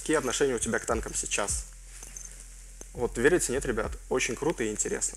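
A man talks at a fairly quick pace with long, frequent pauses. Light background noise is present. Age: 20s. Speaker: gaming YouTuber. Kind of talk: Q&A video, casual chat to viewers. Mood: joking, relaxed, some swearing.

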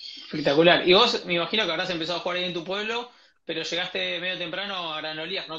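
Speaking very fast, a man uses a Rioplatense accent. His pitch is high and his intonation fairly even. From Argentina. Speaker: podcast host. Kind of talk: interview. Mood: warm, admiring. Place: home room. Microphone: earbuds.

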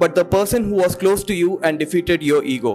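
With faint music in the background, a man speaks at a moderate pace, his high pitch showing ordinary variation. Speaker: spoken word poet. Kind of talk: spoken word poetry performance. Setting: live open mic, audience. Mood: earnest, reflective. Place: stage. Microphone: handheld.

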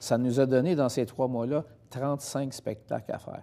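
A man speaks very slowly, his tone dark and mellow. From Quebec. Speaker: singer; guest. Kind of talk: interview. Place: studio.

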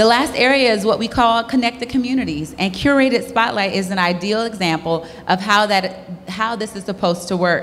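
A woman's fairly high voice at a fairly quick pace, hardly any pauses, a normal speaking voice. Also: ordinary pitch variation. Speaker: corporate sponsor representative. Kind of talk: prepared opening remarks. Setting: stage with audience. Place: hall. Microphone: handheld.

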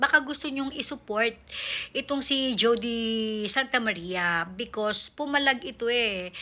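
Her voice fairly high with a bright, sharp tone, a woman talks at a fairly slow pace with ordinary pitch variation. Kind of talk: angry rant. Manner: sarcastic, exasperated and animated, scoffing with rhetorical questions.

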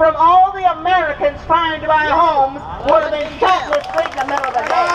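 A woman speaks at an extremely high pitch. Noticeable background noise runs underneath. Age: 70s. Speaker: activist, rally speaker. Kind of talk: rally speech. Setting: outdoors, recorded at a rally. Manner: earnest, forceful. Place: open country. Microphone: camera far.

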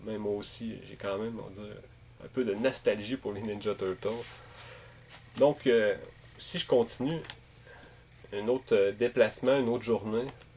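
A man with a Quebec accent speaks at a fairly slow pace with long, frequent pauses over light background noise. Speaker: gaming YouTuber and game collector. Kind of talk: casual video monologue. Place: home room. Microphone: webcam.

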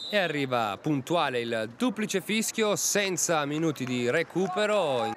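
A man with a fairly high pitch speaks at a fairly slow pace with hardly any pauses. His pitch swings very widely over noticeable background noise. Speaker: football commentator. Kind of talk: live sports commentary.

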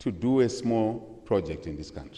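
This man's voice has a dark, mellow tone and moves at a moderate pace. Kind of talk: formal speech with asides. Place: hall. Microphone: podium.

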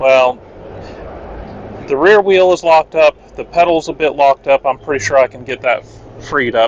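Here a man talks at a moderate pace with ordinary pitch variation. There is light background noise, and the sound is dry with no echo. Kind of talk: casual vlog chat. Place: street. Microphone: phone near.

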